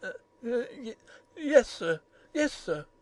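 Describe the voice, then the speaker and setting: In a put-on character voice, the speaker sounds high-pitched, shaky and hoarse. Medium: audio drama. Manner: gruff, halting.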